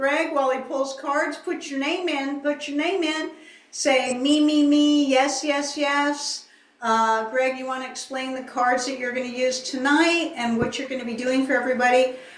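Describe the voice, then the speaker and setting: The voice keeps fairly even intonation at a moderate pace. Audible room echo surrounds it. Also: woman. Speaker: channeler. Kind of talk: promotional announcements.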